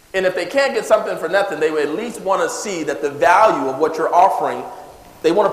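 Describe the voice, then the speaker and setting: A man with an American accent talks at a very fast pace in a high pitch, animated in tone. His intonation is lively, and there is noticeable background noise. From California. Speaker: wealth coach. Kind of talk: seminar talk. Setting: stage with audience.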